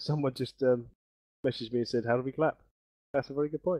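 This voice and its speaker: At a very fast pace, a man with a medium pitch speaks with fairly even intonation. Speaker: deployment commander in gaming group. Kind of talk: speech to gaming group.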